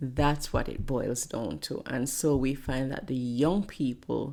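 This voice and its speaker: A woman's very slow, very deep, low voice, dark and mellow in tone, with ordinary pitch variation and a strong Jamaican accent. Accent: thick Jamaican. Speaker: pastor and motivational speaker. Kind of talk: interview conversation.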